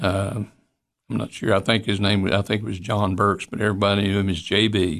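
A man with a Tennessee accent at a fairly quick pace, fairly even intonation, quiet background. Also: fairly low pitch for a man. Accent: Southern US (Tennessee). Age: 80s+. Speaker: retired physician. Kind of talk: interview. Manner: halting.

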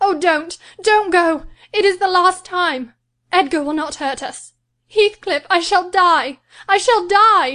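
A woman's put-on character voice, shrill and extremely high in pitch, at a fairly slow pace. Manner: shrieking, desperate.

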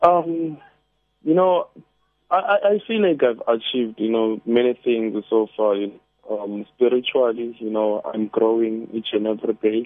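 In a plain, everyday voice, a man speaks fairly slowly at medium pitch with ordinary pitch variation. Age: 20s. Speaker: caller. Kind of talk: casual chat. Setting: phone call.

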